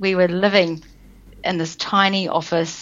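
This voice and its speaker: In a New Zealand accent, a woman with a fairly low voice speaks at a moderate pace. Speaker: business coach. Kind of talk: interview.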